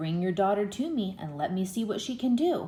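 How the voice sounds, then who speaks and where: A put-on character voice at a middle pitch rattles along at a fairly quick pace. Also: female-sounding voice. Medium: read story. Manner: commanding.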